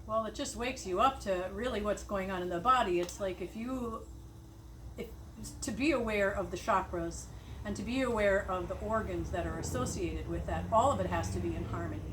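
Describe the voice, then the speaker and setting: Noticeable background noise and audible room echo surround a woman who talks fairly quickly. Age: 60s. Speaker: nurse. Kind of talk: casual chat.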